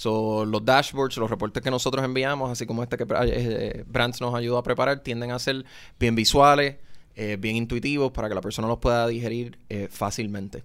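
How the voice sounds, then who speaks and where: In a very clean recording with a silent background, a man with a plain, everyday voice speaks at a medium pitch and moderate pace with fairly even intonation. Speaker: economist. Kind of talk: interview.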